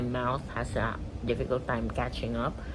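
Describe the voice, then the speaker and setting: A woman's voice with audible room echo. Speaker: daily vlogger. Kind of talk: casual vlog monologue. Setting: bedroom, home video. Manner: halting, pausing to find words.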